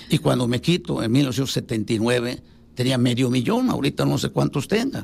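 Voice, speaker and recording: A man with vocal fry speaks at a moderate pace. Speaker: civil engineer. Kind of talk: radio interview.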